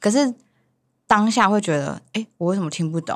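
This is a woman with an ordinary speaking voice. She talks at a moderate pace. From Taiwan, Hualien, Sakizaya village. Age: young. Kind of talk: casual chat.

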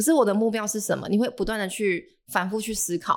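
Talking at a very fast pace, a woman with a medium pitch comes through in a very clean recording with a silent background. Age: 20s. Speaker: personal trainer. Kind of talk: casual chat.

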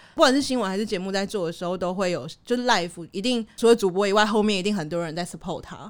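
A woman talks at a very fast pace with a Taiwanese accent, hardly any pauses. Her pitch is medium, with ordinary pitch variation. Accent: Taiwanese Mandarin. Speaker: TV news programme producer. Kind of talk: casual chat. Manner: timid-sounding.

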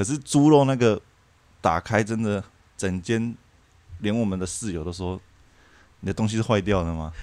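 Long, frequent pauses break up a man's speech at a moderate pace. His pitch is fairly low with ordinary variation. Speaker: former working holiday worker. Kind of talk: casual chat.

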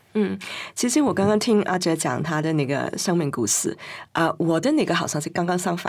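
A woman with a Cantonese accent speaks at a fairly quick pace in a fairly low voice with lively intonation. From Hong Kong. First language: Cantonese (speaking Chinese). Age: 50s. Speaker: writer and queer cultural scholar. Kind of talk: interview conversation.

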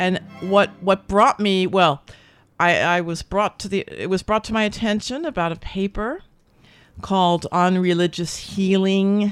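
With a New Jersey accent, a woman talks at a fairly slow pace with ordinary pitch variation on a very clean recording with a silent background. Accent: New Jersey American. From US Northeast, New Jersey. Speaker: radio host. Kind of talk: interview. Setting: studio. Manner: animated.

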